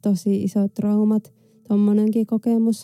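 A woman speaks at a medium pitch with a dark, mellow tone and monotone, flat intonation. The sound is dry and close, with no echo. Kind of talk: personal testimony. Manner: halting, many filler words.

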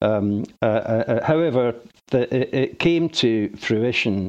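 Against a quiet background, a man talks with a Glaswegian accent. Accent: Glaswegian Scottish. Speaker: retired mortuary technician. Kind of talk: interview testimony.

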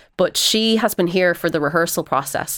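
A woman talks in an Irish accent at a moderate pace. Her intonation is fairly even, and the recording is very clean with a silent background. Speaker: actress. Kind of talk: radio interview.

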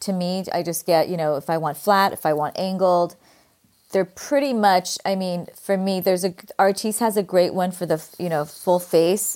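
At a moderate pace, a woman speaks with a Californian accent. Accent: Californian Valley Girl. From California, US. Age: 50s.

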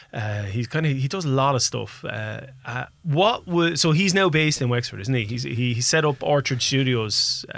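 With an Irish accent, a man speaks at a medium pitch and a moderate pace with lively intonation. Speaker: radio host. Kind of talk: casual radio interview. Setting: radio studio.

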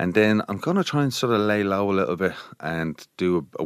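A man with a Dublin accent speaks at a fairly quick pace with a very deep, low pitch and ordinary pitch variation. The recording is very clean, with a silent background and a dry, close sound with no echo. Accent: Dublin Irish. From Dublin, Ireland. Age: 40s. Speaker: visual artist. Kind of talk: casual interview. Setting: studio. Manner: relaxed.

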